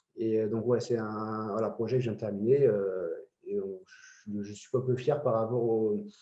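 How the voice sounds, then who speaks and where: A man delivers his words at a medium pitch in a monotone, flat intonation. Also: moderate pace, big swings in loudness. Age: 30s. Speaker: amateur woodworker. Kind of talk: interview. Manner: hesitant, many fillers.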